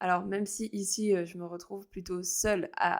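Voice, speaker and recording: A woman's medium-pitched voice on a very clean recording with a silent background. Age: 30s. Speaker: astrologer, podcast host. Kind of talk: casual solo podcast monologue. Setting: recording alone. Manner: hesitant, many fillers.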